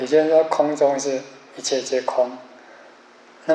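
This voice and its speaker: Amid light background noise and audible room echo, a man speaks at a fairly slow pace with monotone, flat intonation. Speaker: Buddhist teacher giving a lecture. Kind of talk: lecture. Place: classroom.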